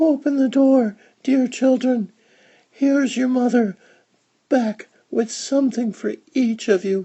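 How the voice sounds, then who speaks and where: A put-on character voice at a fairly high pitch, fairly slow in pace with long, frequent pauses. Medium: read story. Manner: sly, wheedling.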